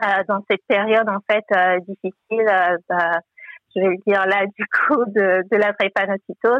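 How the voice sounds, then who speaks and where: At a fairly slow pace, a woman with a medium pitch talks with fairly even intonation and very even loudness. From Togo. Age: 30s. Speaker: financial adviser and online bookshop founder. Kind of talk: interview testimony. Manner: hesitant, many fillers.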